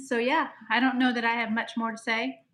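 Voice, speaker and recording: A woman speaks at a moderate pace with a high pitch. Her tone is bright and sharp. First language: Pennsylvania Dutch. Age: 60s. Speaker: host's mother. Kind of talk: live stream chat.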